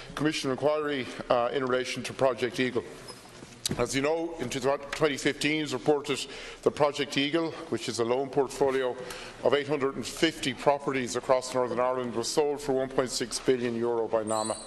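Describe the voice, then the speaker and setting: With light background noise, a man talks at a moderate pace. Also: fairly even intonation. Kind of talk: parliamentary question speech. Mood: critical, pressing questions. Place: hall. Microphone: podium.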